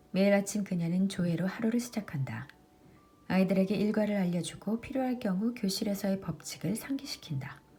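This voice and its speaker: Over noticeable background noise, a woman speaks at a fairly quick pace. Her medium pitch shows ordinary pitch variation. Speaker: audiobook reader, book vlogger. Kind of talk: audiobook reading.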